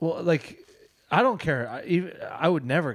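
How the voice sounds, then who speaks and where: The man's pitch sits fairly high, and there is vocal fry in his voice. He keeps a moderate pace. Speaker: comedy podcast co-host. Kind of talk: casual chat. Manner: rambling, full of fillers.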